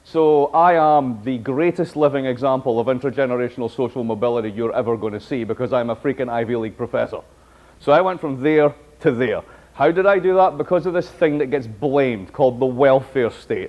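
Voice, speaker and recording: In a Scottish accent, a man talks at a fairly quick pace in an animated tone with ordinary pitch variation. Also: medium pitch for a man. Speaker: professor. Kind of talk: lecture.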